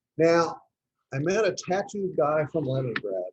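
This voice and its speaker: A man speaks in a Texan accent. His intonation is lively. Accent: Texan American. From Texas. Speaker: club presentation speaker. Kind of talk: talk to a club.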